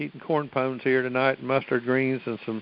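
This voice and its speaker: A man talks at a fairly quick pace with a Southern US accent. His voice sits at a medium pitch. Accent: Southern twang. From US South, Virginia. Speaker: caller. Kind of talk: casual chat. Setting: phone conference.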